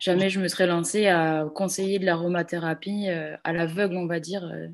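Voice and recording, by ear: A woman talks at a fairly quick pace with fairly even intonation. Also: fairly low pitch for a woman.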